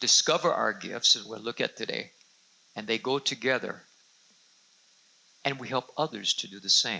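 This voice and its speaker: A man speaks at a moderate pace, his loudness swinging widely. Long pauses come often. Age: 60s. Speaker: senior pastor. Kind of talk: sermon.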